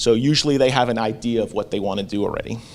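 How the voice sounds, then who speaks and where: This man has an American accent. He talks at a medium pitch. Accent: Staten Island accent, comes out when excited. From Staten Island, New York. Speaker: amateur radio operator and school board member. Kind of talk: conference presentation.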